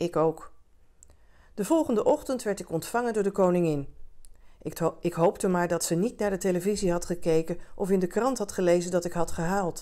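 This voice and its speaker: A woman speaks at a moderate pace in a dark, mellow tone, her pitch varying in an ordinary way against a quiet background. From Netherlands. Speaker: audiobook reader; communications adviser reading aloud. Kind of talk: bedtime story reading aloud, calm and gentle. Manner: soft, gently expressive. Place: home room.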